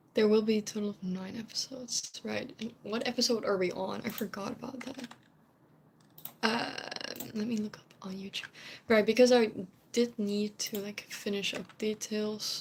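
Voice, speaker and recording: With noticeable background noise, a woman speaks at a moderate pace and a fairly high pitch, leaving long, frequent pauses. Her intonation is monotone and flat, while her loudness swings widely. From Netherlands. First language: Dutch. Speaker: streamer, cosplayer. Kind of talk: casual live stream chat. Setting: home live stream. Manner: rambling, chatty with fillers.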